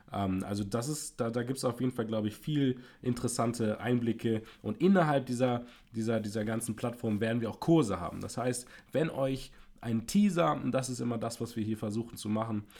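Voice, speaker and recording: Speaking at a fairly quick pace, a man with an unremarkable speaking voice keeps a medium pitch and ordinary pitch variation. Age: 20s. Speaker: podcast co-host. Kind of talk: casual chat. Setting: home podcast setup.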